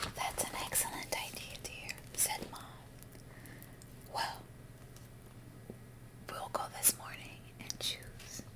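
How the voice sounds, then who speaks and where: Whispering very slowly with long, frequent pauses, the speaker is heard over noticeable background noise. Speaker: ASMR creator. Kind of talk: bedtime story reading.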